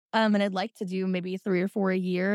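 In an American accent, a woman speaks at a very fast pace with monotone, flat intonation, on a very clean recording with a silent background and a dry, close sound with no echo. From Indiana. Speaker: pole dancer and burlesque performer. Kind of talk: casual chat.

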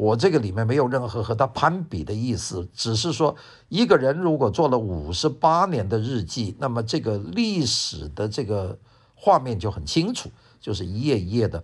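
Against a quiet background, a man with a medium-pitched, somewhat breathy voice makes very wide pitch swings. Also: moderate pace. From Guangzhou, then Wuhan. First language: Cantonese (speaking Chinese). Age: 70s. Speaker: professor and radio host. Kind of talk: memoir talk. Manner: relaxed, many fillers.

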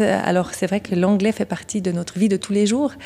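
In a Vaud accent, a woman speaks with a dark, mellow tone and fairly even intonation. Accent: Swiss French (Vaud). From Switzerland, canton of Vaud. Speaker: craft brewery co-owner. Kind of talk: interview.

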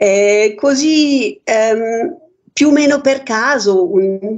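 The speaker uses lively intonation and talks with a German accent. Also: woman. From Germany. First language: German (speaking Italian). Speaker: painter. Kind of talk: radio interview. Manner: halting.

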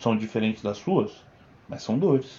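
The speaker has a Paulista accent and ordinary pitch variation. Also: man. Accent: Paulista Brazilian Portuguese. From Brazil, São Bernardo do Campo (São Paulo). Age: 20s. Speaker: video editor, host's partner. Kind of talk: casual chat.

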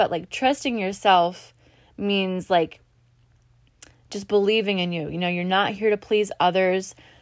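A woman with an ordinary speaking voice, medium pitch and moderate pace, on a very clean recording with a silent background. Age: 20s. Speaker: podcast host. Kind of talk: casual monologue. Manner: casual, filler-heavy.

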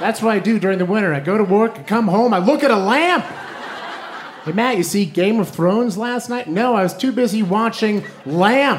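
Speech comes at a moderate pace with ordinary pitch variation against noticeable background noise. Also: man, high pitch for a man. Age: 30s. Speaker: comedy writer and stand-up comedian. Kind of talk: stand-up. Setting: stage with audience.

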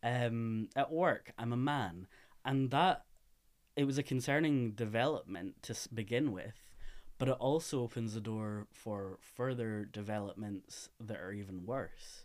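A man with a Scottish accent speaks at a fairly slow pace on a very clean recording with a silent background. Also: medium pitch for a man, ordinary pitch variation. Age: 20s. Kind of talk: interview.

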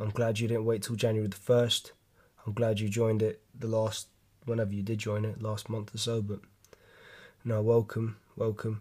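A man with a London accent speaks at a moderate pace with long, frequent pauses. His tone is dark, mellow and somewhat breathy. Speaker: podcast host, gym fitness talk. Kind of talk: solo casual monologue podcast. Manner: casual, rambling, animated.

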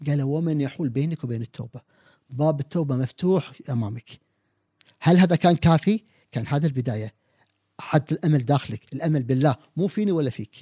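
This man's voice is fairly high, somewhat breathy, with ordinary pitch variation at a moderate pace. The sound is dry and close, with no echo. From Kuwait. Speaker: family physician and personality expert. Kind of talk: podcast interview. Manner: animated.

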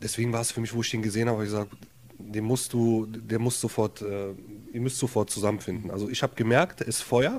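A man with an Arabic accent speaks at a very fast pace. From Germany, Jülich (from Lebanon as child). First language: Arabic (speaking German). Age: 30s. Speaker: social welfare office worker, council candidate. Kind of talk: casual interview. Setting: his apartment.

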